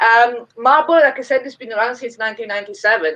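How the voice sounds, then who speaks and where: Her tone bright and sharp, a woman speaks with an Italian accent and lively intonation. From Italy. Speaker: brewery representative. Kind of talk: interview.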